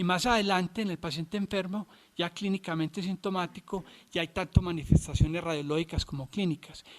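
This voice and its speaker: Fairly quick speech in a Colombian accent, with fairly even intonation. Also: man, high pitch for a man. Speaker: physician lecturer. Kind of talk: lecture. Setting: videoconference. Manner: halting, many fillers and restarts.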